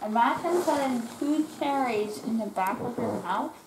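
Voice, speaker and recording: With noticeable background noise behind her, a woman speaks at a fairly slow pace in a high pitch. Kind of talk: casual vlog chat. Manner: swollen-mouthed, numb post-surgery speech. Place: home room. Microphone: phone near.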